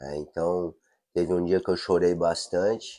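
On a very clean recording with a silent background, a man with a very deep, low pitch and a dark, mellow tone speaks at a fairly slow pace. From São Paulo, Brazil. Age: 40s. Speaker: adaptive surfer and project founder. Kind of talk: casual chat.

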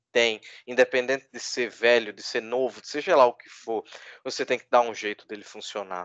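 A man talks at a fairly quick pace in a medium pitch with fairly even intonation. The background is quiet, and the sound is dry and close with no echo. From Brazil, Recife. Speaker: basketball podcaster. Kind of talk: casual chat.

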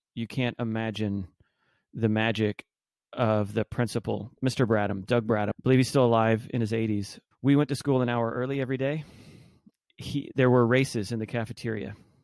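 A man with an American accent and an unremarkable speaking voice, medium pitch and fairly even intonation at a fairly quick pace, dry, close sound with no echo and a very clean recording with a silent background. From Texas, Arlington (Dallas-Fort Worth). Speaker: entrepreneur. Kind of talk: casual interview.

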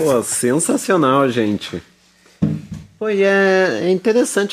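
His pitch is high and swings very widely. This man keeps a moderate tempo. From Araucária, near Curitiba, Brazil. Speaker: radio show host. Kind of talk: radio presenting and interview. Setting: studio.

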